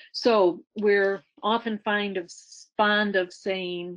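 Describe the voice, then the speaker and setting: A Western New York accent at a very slow pace, fairly even intonation, and a quiet background. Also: woman. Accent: American (Western New York). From Western New York, US. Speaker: retired science agency director; webinar presenter. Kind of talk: presentation; presentation talk. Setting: webinar. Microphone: video call.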